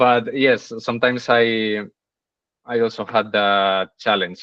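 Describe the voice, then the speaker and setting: A man with a non-native accent, at a very slow pace, in fairly even intonation. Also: medium pitch for a man. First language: not English. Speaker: machine learning engineer, course alumnus. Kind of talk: webinar Q&A. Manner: halting.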